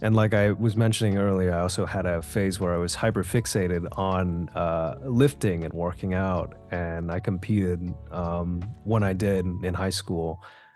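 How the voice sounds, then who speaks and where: With music in the background, a man with a very deep, low pitch speaks at a moderate pace in a fairly even intonation. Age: 20s. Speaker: voice actor. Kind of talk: interview answer.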